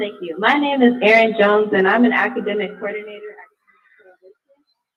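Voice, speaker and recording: A woman with an American accent has an unremarkable speaking voice, fairly high in pitch and fairly even in intonation. She moves at a fairly quick pace, with big swings in loudness. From California. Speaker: education coordinator giving public comment. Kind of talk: public comment. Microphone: too quiet on headset.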